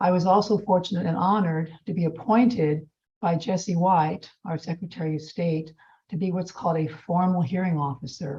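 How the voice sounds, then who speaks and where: Somewhat breathy and dark, mellow in tone, a woman with an American accent speaks at a moderate pace with a fairly low pitch and ordinary pitch variation. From southern Illinois, Jackson County. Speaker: judicial candidate, attorney. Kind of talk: candidate forum statement.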